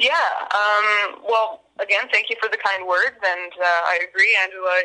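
This woman has a medium pitch and a monotone, flat intonation. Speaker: band musician. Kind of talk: interview. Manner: hesitant, many fillers.

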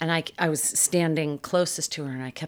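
A woman with a very deep, low pitch and an American accent, ordinary pitch variation, and a moderate pace. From Massachusetts. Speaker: clinical psychologist. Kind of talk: interview.

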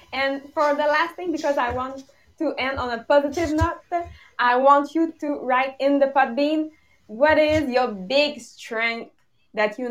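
A woman talks at a fairly slow pace in a Quebec accent. Her voice is high. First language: French. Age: young. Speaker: podcast co-host. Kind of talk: casual chat. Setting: video call. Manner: giggly.

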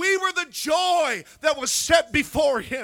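This man talks in a raised, projected voice with an animated, bright and sharp tone. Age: 50s. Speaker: preacher. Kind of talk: sermon. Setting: church.

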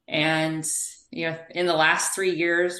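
A woman with an American accent speaks in a very deep, low pitch with vocal fry and a bright, sharp tone, heard through audible room echo. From US South. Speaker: physical therapist. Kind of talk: interview.

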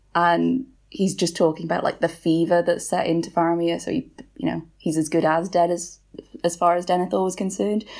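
A woman's fairly low-pitched voice with a British accent and ordinary pitch variation, on a very clean recording with a silent background. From Wales. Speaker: author. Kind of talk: casual chat.

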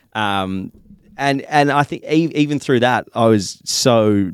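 On a very clean recording with a silent background, a man with an Australian accent speaks with ordinary pitch variation. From Western Australia. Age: 20s. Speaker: fitness content creator. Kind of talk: casual chat.

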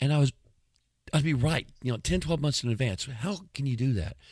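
On a very clean recording with a silent background, a man with an American accent talks in an animated tone. His pitch varies in an ordinary way. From US, racially divided city with school busing (not Texas). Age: 50s. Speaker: podcast host. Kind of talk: casual monologue.

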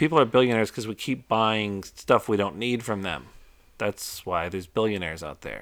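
A man speaks at a fairly quick pace in a fairly low pitch, his intonation lively, and it is an unremarkable speaking voice. The recording is very clean, with a silent background. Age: 40s. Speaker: podcast co-host, father. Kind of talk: casual chat.

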